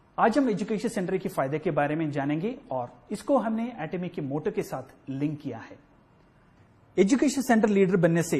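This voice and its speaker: A man's voice sits high, with a dark, mellow tone. His pitch swings very widely. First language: Malayalam (speaking Hindi). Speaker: education center manager. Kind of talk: corporate presentation.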